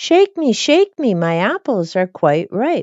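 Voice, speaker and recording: A woman's put-on character voice, fairly high in pitch and fairly slow, with very wide pitch swings. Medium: read story.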